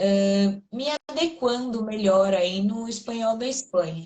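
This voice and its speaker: At a very slow pace, a woman speaks with a somewhat breathy, fairly high voice. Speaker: Portuguese teacher. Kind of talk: casual conversation.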